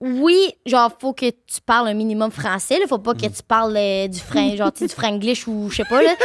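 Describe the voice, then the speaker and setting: A woman's fairly high voice at a moderate pace. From Quebec. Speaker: streamer and content creator. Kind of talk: casual chat. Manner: animated.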